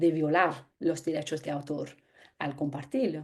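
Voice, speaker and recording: A woman speaks in a dark, mellow tone. Her pace is moderate. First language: English (speaking Spanish). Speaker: anthropologist. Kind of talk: lecture.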